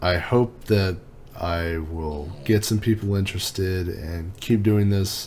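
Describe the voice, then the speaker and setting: Amid noticeable background noise and audible room echo, a man speaks at a very slow pace in a very deep, low pitch. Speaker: tech reviewer YouTuber. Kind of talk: casual vlog monologue. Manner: laid back.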